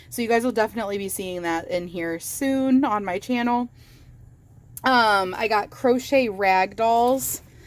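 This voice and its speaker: A woman with an American accent and a fairly high pitch speaks with ordinary pitch variation in a very clean recording with a silent background. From Michigan, US Midwest. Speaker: crochet YouTuber. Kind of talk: casual vlog, show-and-tell haul. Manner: animated, excited.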